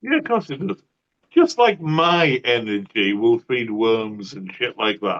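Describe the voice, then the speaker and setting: With a Cumbrian accent, a man talks at a very slow pace using lively intonation. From northern England. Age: 60s. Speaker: atheist channel host. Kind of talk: debate discussion. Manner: slower than usual.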